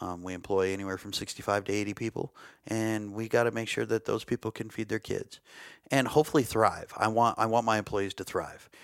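A man's fairly low voice, fairly quick and fairly even in intonation, with a dry, close sound, no echo, and a very clean recording against a silent background. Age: 40s. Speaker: archery company owner and bow tuner. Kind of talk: casual chat.

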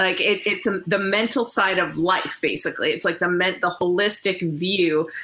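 A woman with a Canadian accent speaks in a plain, everyday voice at medium pitch and a moderate pace, with very even loudness, fairly even intonation and hardly any pauses. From Canada. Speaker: curler turned broadcaster. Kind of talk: casual interview.

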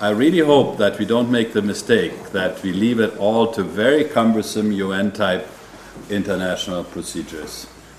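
A man's fairly low voice, an ordinary speaking voice, with ordinary pitch variation at a moderate pace. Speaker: bank executive. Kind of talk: panel interview.

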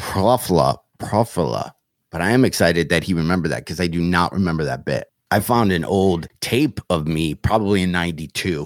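The speaker talks with a Michigan accent. The sound is dry and close, with no echo. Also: man, very deep, low pitch for a man, ordinary pitch variation, moderate pace. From Michigan, US. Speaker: comedian. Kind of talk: casual interview chat.

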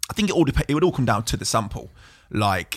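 Recorded very cleanly against a silent background, a man speaks with an East Midlands accent. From Burton upon Trent, English East Midlands. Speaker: DJ and music producer. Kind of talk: casual chat. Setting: studio.

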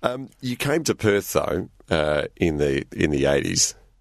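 Lively intonation carries an Australian accent over a quiet background. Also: man. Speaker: radio interviewer. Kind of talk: casual interview.

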